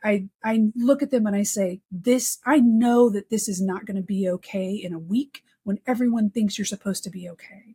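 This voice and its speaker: Speaking with an American accent at a moderate pace, a woman with a medium pitch and a dark, mellow, somewhat breathy tone takes hardly any pauses, her loudness swinging widely in a dry, close sound with no echo. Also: ordinary pitch variation. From Texas. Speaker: research operations community leader. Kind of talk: casual chat.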